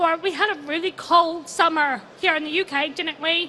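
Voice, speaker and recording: In an American accent, a woman uses a raised, projected voice at an extremely high pitch, bright and sharp in tone, with fairly even intonation. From USA. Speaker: sustainability consultant. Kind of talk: conference talk. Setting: stage with audience.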